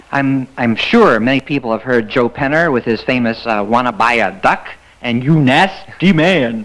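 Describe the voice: Medium in pitch and fairly bright in tone, a man speaks with lively intonation. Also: moderate pace.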